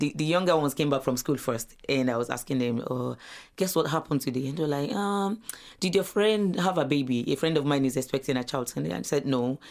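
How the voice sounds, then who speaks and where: A woman with a Nigerian accent, her pitch very deep and low, her intonation lively, on a very clean recording against a silent background. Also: fairly quick pace. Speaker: asylum seeker, mother. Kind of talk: radio interview. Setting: studio.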